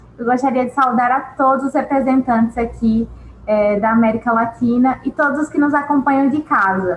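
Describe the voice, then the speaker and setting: Her intonation fairly even, a woman with a Brazilian accent speaks at a moderate pace in a high voice. Noticeable background noise runs underneath. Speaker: government official. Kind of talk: formal speech.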